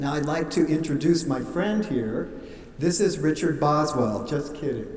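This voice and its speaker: Through audible room echo and noticeable background noise, a man speaks fairly slowly at a fairly high pitch with ordinary pitch variation. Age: 60s. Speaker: wedding officiant. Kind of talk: wedding ceremony address. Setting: wedding venue with guests.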